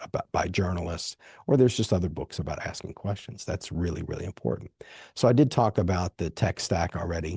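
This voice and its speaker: Over a quiet background, a man with a very deep, low pitch and a somewhat breathy voice talks at a fairly quick pace with ordinary pitch variation, the sound dry and close with no echo. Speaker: podcast host and author. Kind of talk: solo podcast monologue. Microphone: dynamic studio microphone.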